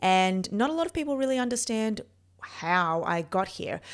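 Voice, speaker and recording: In an Australian accent, the speaker moves at a moderate pace with ordinary pitch variation on a very clean recording with a silent background. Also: woman. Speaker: neurophysiologist and performance coach. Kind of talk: personal story monologue. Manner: casual, with fillers.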